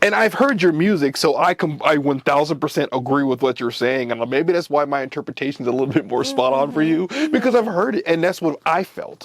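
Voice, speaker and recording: Over noticeable background noise, a man speaks at a fairly quick pace with hardly any pauses. His voice is fairly high-pitched, with lively intonation. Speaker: interviewer. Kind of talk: interview questions.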